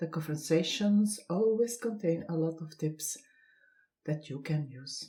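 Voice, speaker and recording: Somewhat breathy and dark, mellow in tone, a woman speaks at a very slow pace with ordinary pitch variation. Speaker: podcast host. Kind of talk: podcast intro.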